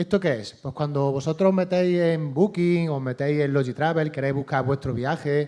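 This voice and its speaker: Speaking with an Andalusian accent, a man with a fairly high pitch and a dark, mellow tone keeps a moderate pace with hardly any pauses and ordinary pitch variation. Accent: Andalusian Spanish (Córdoba). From Córdoba, Andalusia, Spain. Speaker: startup CEO. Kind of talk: panel talk.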